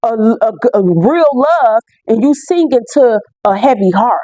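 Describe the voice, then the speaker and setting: An animated tone with very wide pitch swings. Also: woman. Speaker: spiritual tarot reader. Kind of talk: spiritual reading monologue to viewers. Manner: animated, loud.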